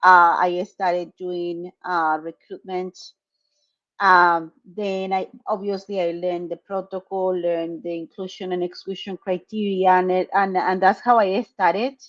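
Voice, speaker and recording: With a Spanish accent, a woman of medium pitch speaks at a fairly slow pace in a monotone, flat intonation, the sound dry and close with no echo. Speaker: clinical research site owner. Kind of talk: interview. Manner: halting.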